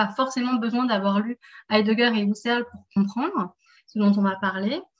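Her voice somewhat breathy and fairly high, the woman keeps a moderate pace and ordinary pitch variation. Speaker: seminar moderator. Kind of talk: seminar moderation. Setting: video call.

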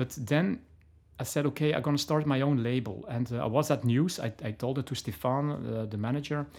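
A man with a Flemish accent at a fairly quick pace, in a very clean recording with a silent background. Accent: Belgian (Flemish) accent in English. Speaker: DJ and label owner. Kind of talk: interview. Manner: halting, many fillers and restarts.

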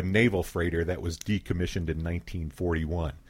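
This man has an American accent. His pitch is very deep and low. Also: very clean recording, silent background. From Philadelphia, US. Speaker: community radio station founder. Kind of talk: radio interview. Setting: radio studio.

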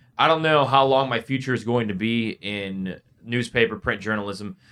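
Bright, sharp tone from a man with an American accent and ordinary pitch variation. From US Midwest (Northwest Indiana). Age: 20s. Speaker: sports radio co-host. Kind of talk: casual interview chat. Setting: arena suite studio.

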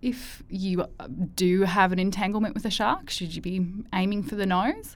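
A woman speaks in an ordinary speaking voice. Her pitch is medium and her pace moderate. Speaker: podcast host. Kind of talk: interview.

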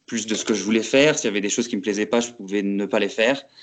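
Over a quiet background, a man talks at a very fast pace. His pitch is fairly low. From France, Lorraine (Metz). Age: 20s. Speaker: aspiring urban farmer, former public works site manager. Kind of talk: interview testimony. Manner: hesitant, many fillers.

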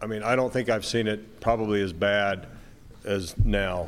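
A man with a fairly low voice speaks at a moderate pace and with fairly even intonation, with audible room echo. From Moab, Utah. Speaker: sheriff candidate, longtime deputy. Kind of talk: debate. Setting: stage with audience.

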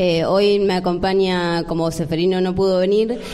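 Over noticeable background noise, a woman speaks with a fairly low pitch. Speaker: tango dance group organizer. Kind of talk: interview. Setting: stage with audience.

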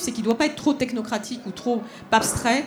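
Here a woman talks in a normal speaking voice at a fairly quick pace. Her pitch is fairly high, with ordinary variation. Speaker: politician and think tank cofounder. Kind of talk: panel discussion. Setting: stage with audience.

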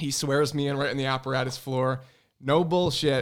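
An ordinary speaking voice from a man, medium pitch, fairly even intonation, moderate pace. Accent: American. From Connecticut, Hartford area. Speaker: firefighter lieutenant and fire instructor. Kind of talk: casual chat. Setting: studio.

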